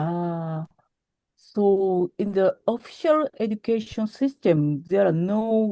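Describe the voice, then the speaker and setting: This voice has a dark, mellow tone and a Japanese accent, with lively intonation at a very slow pace. The sound is dry and close with no echo. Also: woman. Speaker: origami artist. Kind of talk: interview. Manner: halting.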